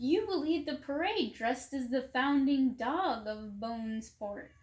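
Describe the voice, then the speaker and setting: High-pitched put-on character voice from a woman, delivered at a moderate pace. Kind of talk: bedtime story. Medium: read story. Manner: enthusiastic, eager.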